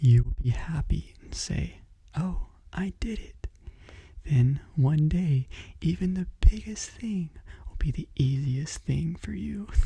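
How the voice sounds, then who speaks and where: The speech is very slow, broken by long, frequent pauses. The speaker is soft-spoken, with a calm tone. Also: man. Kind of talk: motivational book reading with commentary. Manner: soft-spoken, calm.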